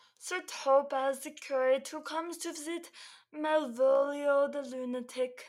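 Someone performs a put-on character voice pitched high. The pace is moderate. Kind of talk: comic mock-clerical performance. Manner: solemn, mock-stern, theatrical.

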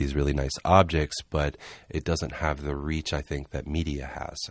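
In a very clean recording with a silent background, a man with an American accent speaks at a very deep, low pitch in a monotone, flat intonation. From US South, Charleston, South Carolina. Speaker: artist and art director. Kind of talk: interview. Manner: halting, many fillers.

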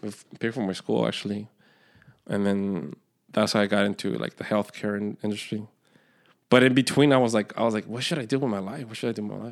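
Very fast yet broken by long, frequent pauses, a man speaks in a fairly low pitch with ordinary pitch variation and big swings in loudness, in a very clean recording with a silent background. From Mexico. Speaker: comedian and former Marine. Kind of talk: casual chat.

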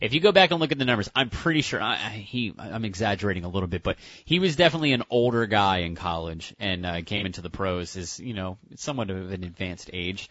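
Very fast and with very wide pitch swings, a man's voice rushes along. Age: 30s. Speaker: radio co-host. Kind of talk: casual sports talk.

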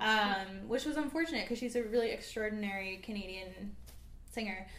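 A woman with a fairly high pitch is heard with audible room echo. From small town British Columbia, Canada. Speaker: singer-songwriter. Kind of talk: casual interview. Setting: studio, livestream.

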